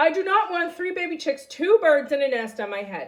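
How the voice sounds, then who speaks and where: A woman performs a put-on character voice at an extremely high pitch. She speaks at a fairly quick pace in a raised, projected voice. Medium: read story. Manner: nervous, fretful.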